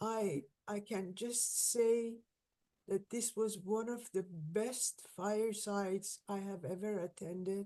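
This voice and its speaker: A woman with a non-native accent speaks at a very slow pace in a dark, mellow tone, her intonation fairly even. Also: medium pitch for a woman. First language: not English. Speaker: event host and moderator. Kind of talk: casual chat. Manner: halting.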